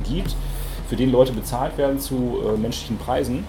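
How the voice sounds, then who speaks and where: A man's medium-pitched voice at a fairly quick pace, fairly even in intonation, with audible room echo and noticeable background noise. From Hamburg. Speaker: radio music journalist. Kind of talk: panel discussion.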